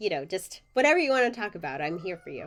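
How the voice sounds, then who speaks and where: A woman is speaking. Her pitch swings very widely. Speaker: podcast host. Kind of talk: podcast interview.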